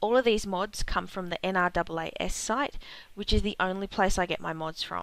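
A woman speaks at a medium pitch and a moderate pace. Her tone is bright and sharp. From Australia. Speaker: gaming video creator. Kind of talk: game tutorial narration.

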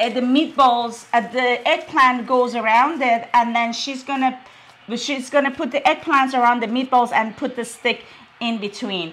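High-pitched female speech with ordinary pitch variation. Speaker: cooking show co-host. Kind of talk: casual cooking tutorial chat. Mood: excited, laughing. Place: kitchen. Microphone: camera far.

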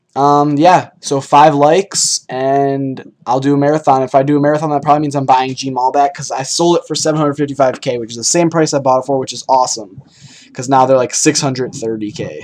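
Noticeable background noise sits under this recording. A man with a fairly high pitch and fairly even intonation speaks with hardly any pauses. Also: moderate pace. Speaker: gaming YouTuber. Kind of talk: gameplay commentary. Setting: home recording.

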